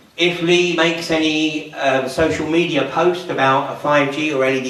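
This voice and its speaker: There is audible room echo and noticeable background noise as a man speaks with fairly even intonation. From southern England, Surrey. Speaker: public speaker, activist. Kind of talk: public talk.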